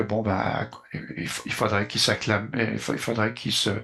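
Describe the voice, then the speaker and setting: The tone is bright and sharp, delivered at a fairly slow pace. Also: man. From Quebec. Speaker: community volunteer. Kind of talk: interview. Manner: halting, many fillers.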